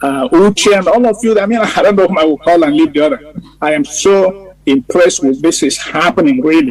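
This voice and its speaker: Against noticeable background noise, a man speaks in a high voice with lively intonation. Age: 70s. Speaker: war veteran. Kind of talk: casual chat. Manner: halting.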